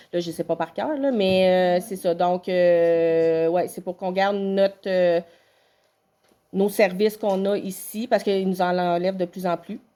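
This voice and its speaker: Her tone is dark and mellow, her pitch medium. This woman speaks at a fairly slow pace with fairly even intonation. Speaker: municipal council chair. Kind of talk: public meeting Q&A. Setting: town council meeting. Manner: hesitant, many fillers.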